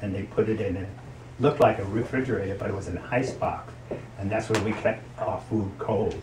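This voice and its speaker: A man with an American accent and fairly even intonation, amid audible room echo and noticeable background noise. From New Jersey, Hoboken. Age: 70s. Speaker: grandparent. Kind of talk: interview.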